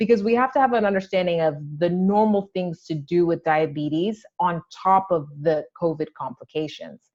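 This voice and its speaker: A woman speaks in an ordinary speaking voice at a fairly low pitch. Her pace is moderate with hardly any pauses, and the sound is dry and close, with no echo. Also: ordinary pitch variation. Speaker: maternal fetal medicine doctor. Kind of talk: lecture.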